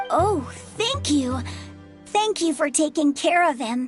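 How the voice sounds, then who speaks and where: Over faint background music, a woman uses a put-on character voice at a fairly slow pace. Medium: video game.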